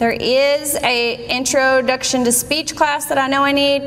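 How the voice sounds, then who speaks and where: A high-pitched woman speaks with fairly even intonation. The recording has audible room echo and noticeable background noise. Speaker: college staff giving registration tutorial. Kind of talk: screen-recorded tutorial. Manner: loud.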